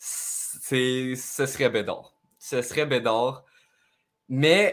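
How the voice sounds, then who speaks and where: A man with a Quebec accent on a very clean recording, silent background. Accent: Québécois French. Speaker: gaming YouTuber. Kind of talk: casual chat.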